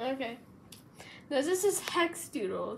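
A woman's high voice with lively intonation at a very slow pace, amid audible room echo and noticeable background noise. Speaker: amateur artist, video creator. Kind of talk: casual commentary on own drawings. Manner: animated.

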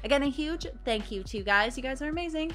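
A very fast-talking woman with faint music in the background. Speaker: reaction video host. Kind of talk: casual reaction commentary. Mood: playful, amused.

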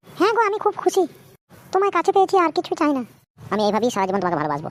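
An extremely high, squeaky cartoonish character voice at a very fast pace. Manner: soft, affectionate.

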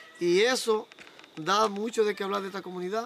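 A man with a Dominican accent and a high pitch, in dry sound with no echo, over light background noise. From Dominican Republic. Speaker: local official promoting electrification project. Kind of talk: on-site interview statement. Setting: outdoors in rural community. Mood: proud, upbeat. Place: open country.

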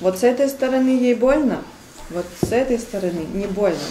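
In a room with audible echo and light background noise, a woman speaks at a moderate pace with a high pitch and lively intonation. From Siberia, Kemerovo region; Siberia. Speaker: fitness trainer and body therapist; fitness trainer. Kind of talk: casual chat. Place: home room. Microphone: camera far.

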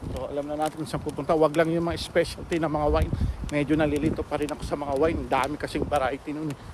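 With noticeable background noise, a man with a fairly high pitch speaks at a very fast pace. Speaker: delivery driver vlogger. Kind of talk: casual vlog narration.

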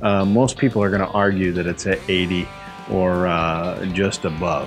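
Faint music plays behind the speaker, who talks at a fairly slow pace. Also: man. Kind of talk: interview answer. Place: factory. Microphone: lapel.

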